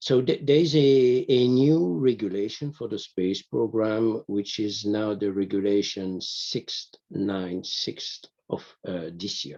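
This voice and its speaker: A man's tone is dark and mellow. His speech moves very slowly. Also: fairly low pitch for a man, lively intonation. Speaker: EU space program official. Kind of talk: workshop discussion comment. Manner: halting, many fillers and repetitions.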